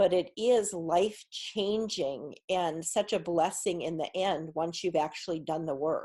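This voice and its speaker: A woman speaks at a fairly slow pace and fairly low pitch, her dark, mellow tone showing ordinary pitch variation. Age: 60s. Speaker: spiritual healer podcast host. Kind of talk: podcast monologue.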